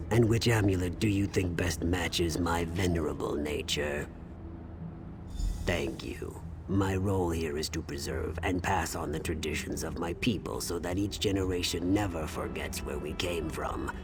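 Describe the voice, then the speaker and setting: Through loud background noise, a man puts on a character voice with a very deep, low pitch and talks at a moderate pace. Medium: video game. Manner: formal, stately.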